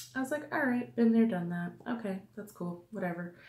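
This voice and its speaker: A woman speaks quietly with lively intonation. Her voice is somewhat breathy, and her pace is moderate. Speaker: beauty vlogger. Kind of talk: casual product review vlog. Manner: quiet, hushed.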